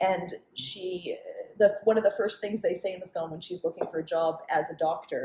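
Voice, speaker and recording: A woman with a Canadian accent speaks at a moderate pace in a medium pitch. Her tone is dark, mellow and somewhat breathy, with ordinary pitch variation. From Montreal, Canada. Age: 40s. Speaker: comedian. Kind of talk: casual chat.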